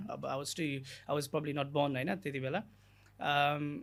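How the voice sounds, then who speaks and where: A man with a Nepali accent at a moderate pace, on a very clean recording with a silent background. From Nepal, Gulmi district. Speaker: immigration lawyer. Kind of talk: podcast interview. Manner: code-switching Nepali and English, frequent fillers.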